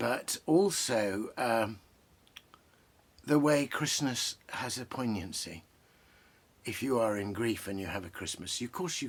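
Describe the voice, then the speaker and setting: Here a man speaks at a medium pitch with lively intonation. His pace is fairly slow. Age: 60s. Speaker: poet and literary commentator. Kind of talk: casual talk about poetry. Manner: hesitant, with many fillers.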